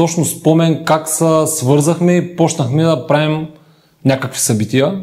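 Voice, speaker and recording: A man speaks at a fairly slow pace with a fairly high pitch and fairly even intonation. It is an unremarkable speaking voice. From Bulgaria, Ruse. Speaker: event host and auto parts trader. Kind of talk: casual podcast chat.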